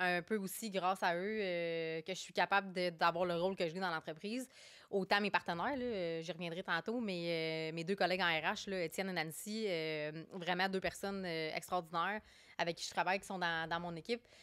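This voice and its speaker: Recorded very cleanly with a silent background, a woman with a fairly low voice talks at a fairly quick pace. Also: fairly even intonation. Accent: Quebec. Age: 30s. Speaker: HR director. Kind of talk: podcast interview. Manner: hesitant, many fillers.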